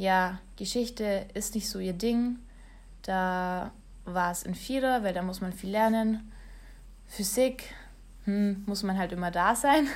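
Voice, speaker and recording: A woman at medium pitch and very slow pace, ordinary pitch variation, long, frequent pauses and audible room echo. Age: 20s. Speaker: online marketer and blogger. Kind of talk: solo podcast monologue.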